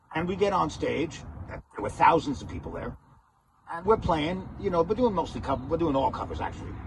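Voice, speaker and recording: Fairly quick, lively speech from a high-pitched man amid noticeable background noise. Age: 60s. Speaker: musician. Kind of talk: casual vlog talk. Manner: halting, relaxed.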